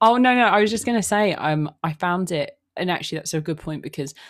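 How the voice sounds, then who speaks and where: A woman's fairly low voice at a fairly quick pace, on a very clean recording with a silent background. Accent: London. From London, England. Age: 20s. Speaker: podcaster. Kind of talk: casual chat. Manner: halting, many fillers and repeats.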